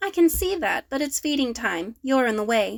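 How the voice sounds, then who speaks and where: A high-pitched put-on character voice from a woman, delivered at a moderate pace. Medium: read story. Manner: brisk, curt.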